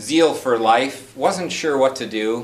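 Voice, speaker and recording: Amid noticeable background noise and audible room echo, a man with an American accent speaks with lively intonation. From US Midwest (North Dakota, Wisconsin). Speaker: club member giving a speech. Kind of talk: prepared speech.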